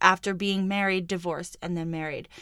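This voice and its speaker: Speech from a woman, captured very cleanly against a silent background. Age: 30s. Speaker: podcast host and entrepreneur. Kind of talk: solo monologue podcast. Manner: casual, conversational.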